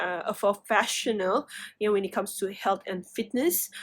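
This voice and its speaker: On a very clean recording with a silent background, a woman of medium pitch speaks with a non-native accent. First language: not English. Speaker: tarot reader. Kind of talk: tarot reading. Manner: halting, many fillers.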